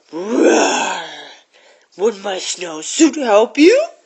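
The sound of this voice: In a growling, put-on character voice, the speaker goes very slowly at fairly high pitch, with very wide pitch swings.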